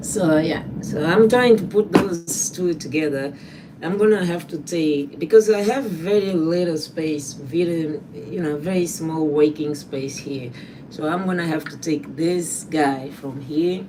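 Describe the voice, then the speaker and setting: Audible room echo surrounds a woman's very deep, low voice at a fairly slow pace. Her loudness swings widely, while her pitch varies in an ordinary way. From Angola. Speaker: trash artist. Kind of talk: casual livestream tutorial. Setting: small home workspace. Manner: halting.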